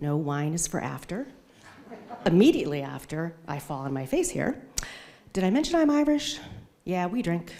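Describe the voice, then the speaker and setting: A woman with an American accent and fairly low pitch, very wide pitch swings, and long, frequent pauses, amid noticeable background noise and audible room echo. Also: moderate pace. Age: 50s. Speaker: amateur stand-up comedian. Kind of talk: stand-up. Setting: stage with audience.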